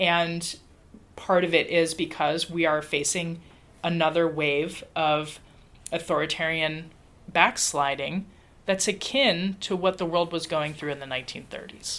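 In an American accent, a woman with a plain, everyday voice talks at a fairly slow pace, her fairly low pitch held in fairly even intonation. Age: 40s. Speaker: political scientist and professor. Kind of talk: interview.

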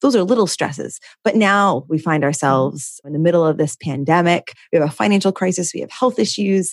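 A woman's normal speaking voice, fairly low in pitch, with lively intonation at a fairly quick pace over a quiet background. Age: 30s. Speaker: podcast host. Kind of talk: casual interview.

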